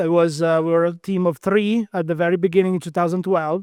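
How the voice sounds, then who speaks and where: The recording is very clean, with a silent background and a dry, close sound with no echo, as a man with a high pitch speaks with fairly even intonation. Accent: Italian. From Italy. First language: Italian. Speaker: quantum physicist. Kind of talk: interview.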